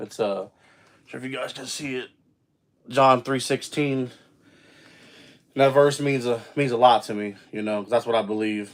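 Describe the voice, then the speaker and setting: Speaking at a moderate pace with long, frequent pauses, a man uses a medium pitch and fairly even intonation, his loudness swinging widely. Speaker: livestreamer. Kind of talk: casual livestream chat. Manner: casual, filler-heavy.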